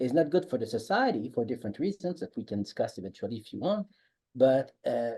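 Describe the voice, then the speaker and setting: Somewhat breathy, a man with a Quebec accent speaks at medium pitch in a dark, mellow tone. His pitch swings very widely, and his loudness swings a lot too. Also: fairly quick pace. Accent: French Canadian accent in English. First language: French. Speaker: economics professor. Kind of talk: podcast interview. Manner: halting.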